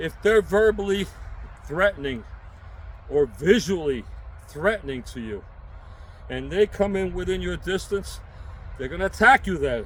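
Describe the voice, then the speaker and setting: A man with a New York accent speaks at a moderate pace. He takes long, frequent pauses, and his loudness swings a lot. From New York City. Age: 60s. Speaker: self-defense instructor and prepper vlogger. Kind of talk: unscripted tutorial. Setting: outdoors. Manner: casual, emphatic.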